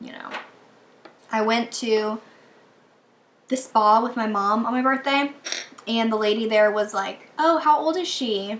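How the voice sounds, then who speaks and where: Over noticeable background noise, the voice moves at a moderate pace with lively intonation. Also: woman. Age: 20s. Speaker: beauty vlogger. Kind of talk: casual chat. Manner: rambling chatty.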